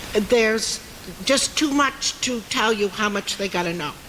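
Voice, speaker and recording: With an American accent, a woman speaks at a fairly slow pace and a fairly high pitch. Her pitch varies in an ordinary way, and noticeable background noise runs underneath. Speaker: town resident speaking at meeting. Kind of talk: public meeting comment. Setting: town meeting hall with audience. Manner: loud.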